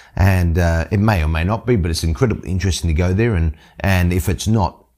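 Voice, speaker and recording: A man's very deep, low voice with an Australian accent, dark and mellow in tone, at a very fast pace with ordinary pitch variation, on a very clean recording with a silent background. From Australia, Sydney working-class suburb. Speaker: pastor. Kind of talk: bible teaching podcast.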